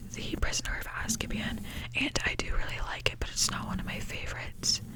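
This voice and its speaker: Noticeable background noise sits behind a woman's whisper. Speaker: ASMR creator. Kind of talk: whispered ramble about movies, casual talk to camera. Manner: whispered.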